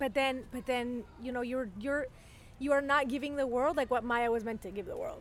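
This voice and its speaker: A woman speaks at a high pitch with a Spanish accent. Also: moderate pace. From Venezuela. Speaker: journalist. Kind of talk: casual chat. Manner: animated.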